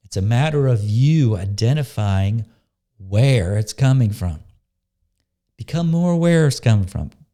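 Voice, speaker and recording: A man speaks at a medium pitch with a dark, mellow tone. His intonation is lively. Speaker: spiritual coach and healing facilitator. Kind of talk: monologue with guided meditation. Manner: casual, conversational; slow and soft when guiding meditation.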